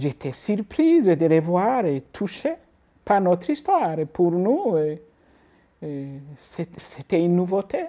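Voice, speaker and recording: A woman speaks very slowly, with long, frequent pauses. Her tone is dark and mellow, and her intonation is lively. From Burundi. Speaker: refugee. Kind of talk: testimony. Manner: halting.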